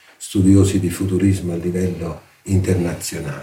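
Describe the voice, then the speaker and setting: A man's very deep, low voice in monotone, flat intonation, with noticeable background noise. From southern Italy, Salerno area. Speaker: art history professor. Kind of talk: interview.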